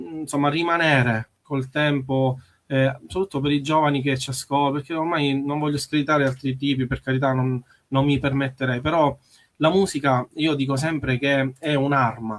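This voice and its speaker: A man talks at a moderate pace in a fairly high voice. His intonation stays fairly even. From Sicily. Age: 30s. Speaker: musician. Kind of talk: radio interview. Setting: radio studio. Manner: halting.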